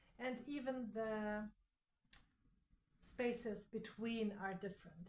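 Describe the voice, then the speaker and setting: Her pace is very slow, and she has a non-native accent. The woman's pitch is medium and her intonation fairly even. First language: not English. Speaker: quilting content creator. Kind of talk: tutorial. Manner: halting.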